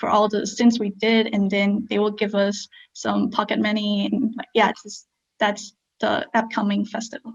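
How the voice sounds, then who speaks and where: A woman speaks at a medium pitch in a monotone, flat intonation. Her delivery is fairly slow and somewhat breathy. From Myanmar. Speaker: scout. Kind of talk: interview. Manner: hesitant, many fillers.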